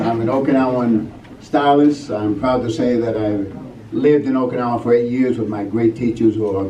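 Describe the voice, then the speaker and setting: This man has a medium pitch and a fairly quick pace. Audible room echo and noticeable background noise fill the recording. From California. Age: 60s. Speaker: martial arts teacher. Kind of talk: award acceptance speech. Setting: banquet stage with audience.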